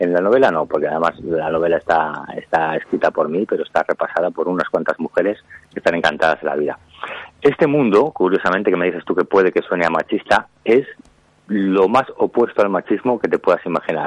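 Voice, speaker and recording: A fairly quick-paced man's voice, dry and close-sounding with no echo. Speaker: author. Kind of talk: interview.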